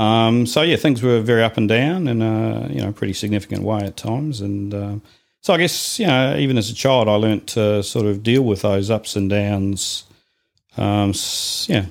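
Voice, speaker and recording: Delivered at a moderate pace in a New Zealand accent, the speech carries ordinary pitch variation. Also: man. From New Zealand, Invercargill. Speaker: church member. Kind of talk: interview about life story.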